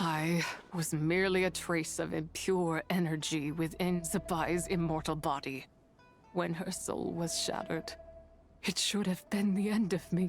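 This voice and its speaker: With clear music in the background, a put-on character voice at a middle pitch speaks at a moderate pace. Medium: video game. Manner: archaic, grandiose, scornful.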